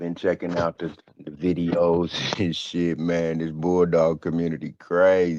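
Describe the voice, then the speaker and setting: Very deep and low in pitch, a man speaks at a very slow pace. His intonation is monotone and flat. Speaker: stream panelist. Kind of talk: casual chat. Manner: low energy.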